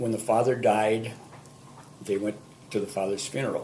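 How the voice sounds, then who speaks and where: A man with a fairly low pitch speaks with an Upper Midwest accent, and room echo is audible. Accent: Upper Midwest American. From Minnesota, Saint Paul. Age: 70s. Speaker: grandfather sharing memories. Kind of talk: oral history recollection. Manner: hesitant, with fillers.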